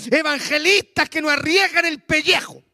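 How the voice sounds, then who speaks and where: A man projects a raised voice at an extremely high pitch, bright and sharp in tone, with fairly even intonation and a dry, close sound with no echo. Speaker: pastor. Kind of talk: sermon.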